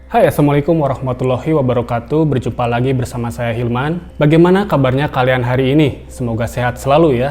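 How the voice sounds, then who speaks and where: Over music in the background, a man with a medium pitch talks at a very fast pace with hardly any pauses. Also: ordinary pitch variation. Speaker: film recap narrator. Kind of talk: movie plot recap narration.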